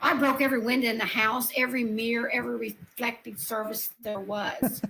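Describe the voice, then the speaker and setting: A woman with an Appalachian accent talks at a fairly quick pace in a fairly high pitch. Her intonation is fairly even, and there is noticeable background noise. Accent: Appalachian Southern US. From US South, Upper East Tennessee. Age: 60s. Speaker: paranormal experiencer. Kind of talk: interview.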